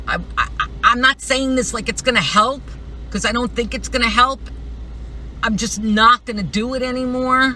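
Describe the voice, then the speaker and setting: A moderately paced female voice with noticeable noise behind it. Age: 60s. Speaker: substitute teacher, political canvasser. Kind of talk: casual talk to camera.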